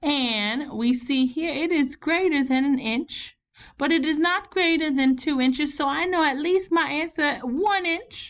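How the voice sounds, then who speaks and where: A high-pitched woman with a Southern US accent, fairly slow and lively in intonation, with very even loudness. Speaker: elementary school teacher. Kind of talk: online math lesson for children. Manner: casual, encouraging.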